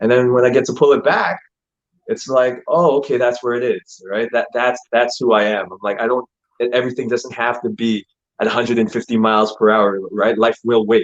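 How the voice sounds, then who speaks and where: A man with a medium pitch and fairly even intonation speaks at a fairly quick pace in a normal speaking voice. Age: young. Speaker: actor. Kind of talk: interview.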